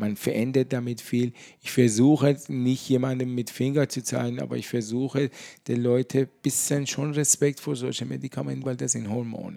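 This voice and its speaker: A man with a non-native accent speaks at a moderate pace in a dark, mellow tone with fairly even intonation. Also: medium pitch for a man. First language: not German (speaking German). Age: 50s. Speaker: pharmacist. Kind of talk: casual interview. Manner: halting.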